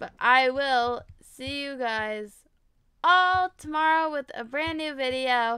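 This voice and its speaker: A woman projects a raised, high voice, bright and sharp in tone, animated, with lively intonation. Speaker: gaming youtuber. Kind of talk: gameplay commentary.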